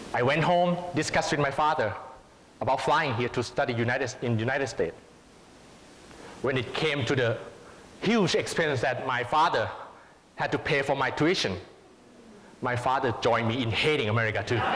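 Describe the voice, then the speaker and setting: A man with a Thai accent speaks at a fairly quick pace but with long, frequent pauses, his pitch medium with ordinary variation. Audible room echo and noticeable background noise fill the recording. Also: very even loudness. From Thailand. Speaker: public speaking contestant. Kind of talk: prepared speech.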